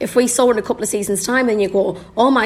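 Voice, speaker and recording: The speech goes fairly quickly with ordinary pitch variation, and noticeable background noise sits underneath. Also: woman. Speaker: football fan podcast guest. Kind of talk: casual chat.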